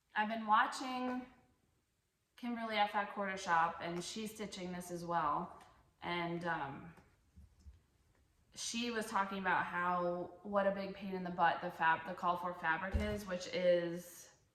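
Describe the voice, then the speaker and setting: A woman speaks at a medium pitch and a fairly slow pace, with fairly even intonation, long, frequent pauses, and audible room echo. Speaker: cross-stitch vlogger. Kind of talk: casual show-and-tell vlog. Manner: halting, self-correcting.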